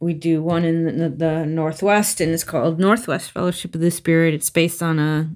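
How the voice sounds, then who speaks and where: Recorded very cleanly over a silent background, a plain, everyday voice speaks at a fairly quick pace. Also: woman. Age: 50s. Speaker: podcast co-host in addiction recovery. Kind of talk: casual chat. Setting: home recording.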